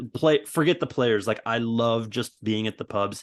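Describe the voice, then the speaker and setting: A man talks at a fairly low pitch and a moderate pace, with an American accent. It is an ordinary speaking voice against a quiet background. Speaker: football supporters club member. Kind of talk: casual chat.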